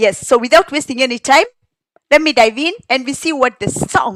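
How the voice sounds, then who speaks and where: A woman's high voice with a Kenyan accent, lively intonation and a moderate pace. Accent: Kenyan (Kikuyu) English. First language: Kikuyu. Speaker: song translator and commentator. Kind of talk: casual explanatory commentary.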